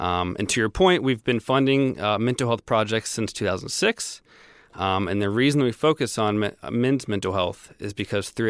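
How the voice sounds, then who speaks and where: An American-accented man with a fairly low voice, ordinary pitch variation and a moderate pace, in a dry, close, echo-free, very clean recording with a silent background. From US South (Tennessee, Florida). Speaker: men's health charity worker. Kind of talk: interview. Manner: relaxed.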